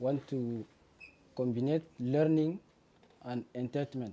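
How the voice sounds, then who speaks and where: Over noticeable background noise, a man with a non-native accent speaks with fairly even intonation. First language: not English. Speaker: student presenting a project. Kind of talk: project presentation. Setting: demo day before a jury. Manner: halting, many fillers.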